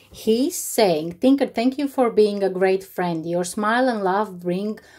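A woman's dark, mellow voice with a non-native accent and ordinary pitch variation, over a quiet background. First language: not English. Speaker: YouTuber. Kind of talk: unboxing vlog. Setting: home, evening. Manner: animated. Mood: warm, delighted, grateful. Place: home room. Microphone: phone near.

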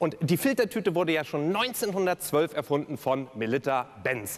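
This man has a fairly high pitch with very wide pitch swings and vocal fry, speaking at a moderate pace. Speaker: keynote speaker and cabaret performer. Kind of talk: cabaret-style speech on stage at a gala. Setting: live stage event. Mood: humorous, playful. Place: stage. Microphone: headset.

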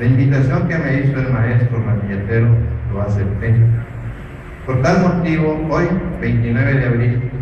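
Strong room echo and noticeable background noise surround a man's speech. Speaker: reader at a cultural festival. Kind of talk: reading a written chronicle. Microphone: camera far.

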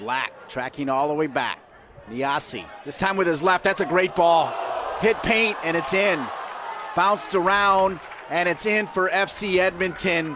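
A man speaks at a fairly slow pace in a high pitch, with ordinary pitch variation and noticeable background noise. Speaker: play-by-play commentator. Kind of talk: live sports commentary. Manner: rising call on goals.

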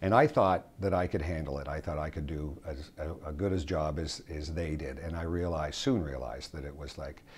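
A man talks at a fairly quick pace with hardly any pauses. His very deep, low voice has vocal fry and fairly even intonation. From Canada. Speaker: radio announcer. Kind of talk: interview answer. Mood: reflective, fond. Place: home room.

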